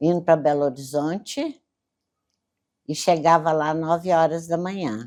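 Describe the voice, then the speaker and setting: This woman's voice has a very deep, low pitch. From Brazil, Minas Gerais (Campos Altos). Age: 80s+. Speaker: elderly local resident interviewee. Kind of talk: oral history interview.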